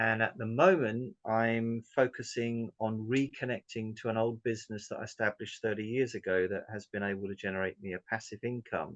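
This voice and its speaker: Fairly low-pitched male speech in a southern English accent at a moderate pace, with fairly even intonation, a dry, close sound with no echo, and a quiet background. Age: 60s. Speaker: business owner. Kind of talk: interview testimony. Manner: hesitant, many fillers.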